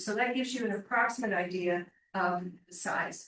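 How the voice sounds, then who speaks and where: This woman's medium-pitched voice, with ordinary pitch variation, comes through with audible room echo. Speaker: planning consultant for applicant. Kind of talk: presentation at council meeting.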